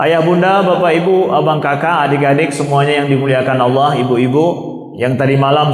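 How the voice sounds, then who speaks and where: Speaking with an Aceh accent, a man talks at a fairly quick pace in a fairly high pitch with fairly even intonation. The recording has audible room echo and noticeable background noise. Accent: Acehnese-accented Indonesian. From Aceh, Indonesia (Pidie). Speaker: Islamic preacher, mosque imam. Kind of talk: sermon. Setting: mosque, dawn gathering with audience.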